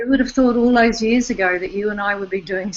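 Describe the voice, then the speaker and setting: Fairly high female voice with an Australian accent and ordinary pitch variation. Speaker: online summit host, interviewer. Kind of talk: online interview. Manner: halting, repeats words.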